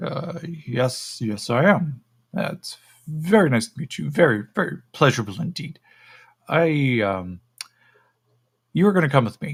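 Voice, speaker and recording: Using a put-on character voice, a man speaks at a fairly high pitch with long, frequent pauses. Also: moderate pace. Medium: actual play. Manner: clinical, condescending.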